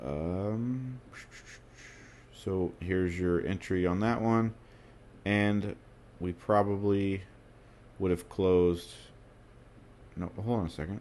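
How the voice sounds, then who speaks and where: With long, frequent pauses, a man with a fairly low pitch speaks at a very slow pace. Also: fairly even intonation. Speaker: trading indicator developer. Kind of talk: live tutorial. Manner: stutters, self-corrects; hesitant with fillers.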